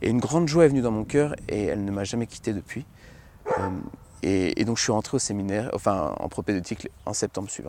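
Through noticeable background noise, a man speaks at a fairly low pitch with lively intonation in a dry sound with no echo. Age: 20s. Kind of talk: testimony. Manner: halting, many repetitions and fillers. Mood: reflective, earnest. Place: garden. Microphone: lapel.

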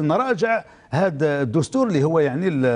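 A man speaks at a moderate pace in a high voice, his pitch swinging very widely, over a quiet background. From Algeria. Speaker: trade union leader. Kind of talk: formal TV interview. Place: studio. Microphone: lapel.

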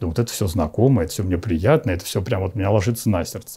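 Very fast and somewhat breathy, the man's voice has a very deep, low pitch and a dark, mellow tone. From Moscow region, Russia. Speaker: bishop. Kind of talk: interview testimony. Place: home room.

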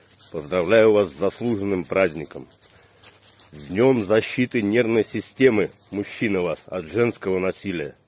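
Recorded dry with no echo, a man speaks at a fairly slow pace. His pitch is fairly low. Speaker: comic short-video creator. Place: street. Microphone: phone near.

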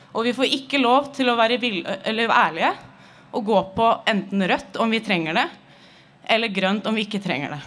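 Light background noise accompanies a woman speaking at a moderate pace. Her pitch is fairly high and her intonation lively. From Norway. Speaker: medical cannabis patient, rally speaker. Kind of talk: rally speech. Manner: nervous, frustrated, pleading. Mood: earnest, critical. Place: street. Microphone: podium.

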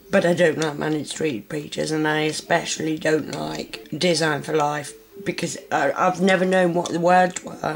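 This woman's voice sits very deep and low. Her intonation stays fairly even. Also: moderate pace. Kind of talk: casual talk to camera.

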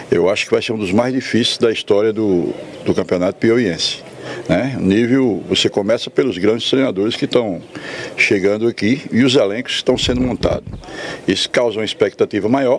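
The man talks at a moderate pace with fairly even intonation, in a dry sound with no echo and light background noise. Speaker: football coach. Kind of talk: interview answer. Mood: calm, measured. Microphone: handheld.

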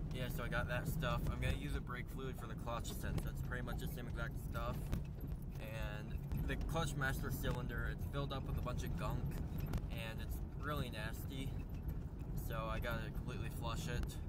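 Over loud background noise, a man talks at a moderate pace with long, frequent pauses, the sound dry and free of echo. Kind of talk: casual vlog chat. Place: garage. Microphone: phone near.

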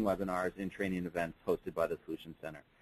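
Here a man is talking. His pace is very fast. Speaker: webinar moderator. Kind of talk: webinar moderation. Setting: video call. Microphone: video call.

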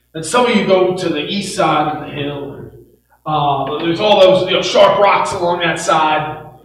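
A man speaks at a fairly slow pace in a high voice with fairly even intonation, over light background noise and audible room echo. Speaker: preacher. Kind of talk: sermon. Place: church.

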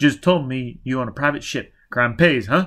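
Using a put-on character voice, a man mumbles at a moderate pace and medium pitch, with ordinary pitch variation and big swings in loudness. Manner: mumbling, barely audible.

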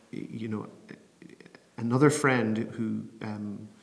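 Speaking at a very slow pace, a man talks with an Irish accent. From Bray, County Wicklow, Ireland. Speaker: programme manager for public theology. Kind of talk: interview answer. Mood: calm, thoughtful, personal. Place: home room.

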